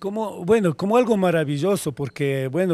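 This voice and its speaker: Dark, mellow male tones captured in a very clean recording, the background silent. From Ecuador, Quito. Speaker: neighborhood leader. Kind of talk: street interview.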